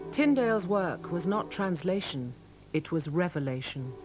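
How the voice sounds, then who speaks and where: Music plays in the background as a woman speaks with very wide pitch swings. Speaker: narrator. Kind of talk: documentary narration.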